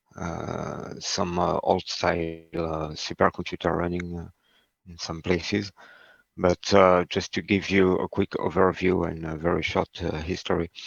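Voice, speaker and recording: Over a quiet background, a man talks in a very deep, low pitch. His delivery is fairly slow, with monotone, flat intonation. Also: dry, close sound with no echo. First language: not English. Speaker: HPC instructor. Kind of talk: lecture. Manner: halting, many fillers.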